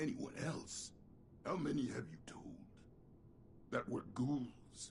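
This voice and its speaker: A man's whispered, put-on character voice at a fairly slow pace, with clear background noise. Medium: video game. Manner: curt, gruff.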